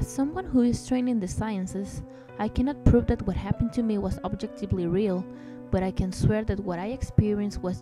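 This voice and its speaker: A woman talks at a fairly quick pace with lively intonation and a medium pitch. Music plays in the background. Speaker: amateur horror story narrator. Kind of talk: horror story narration.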